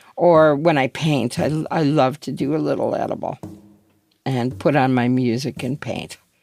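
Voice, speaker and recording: A woman's fairly slow speech with ordinary pitch variation, music playing behind. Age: 60s. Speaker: former pot brownie baker. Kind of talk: interview.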